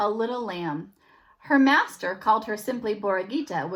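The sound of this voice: The text is read in an unforced reading voice.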